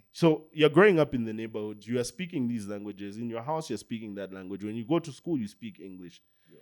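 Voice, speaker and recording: With a Zambian accent, a man speaks very fast at a medium pitch with hardly any pauses, lively intonation and big swings in loudness, on a very clean recording with a silent background. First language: Bemba. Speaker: podcast host. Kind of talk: casual chat.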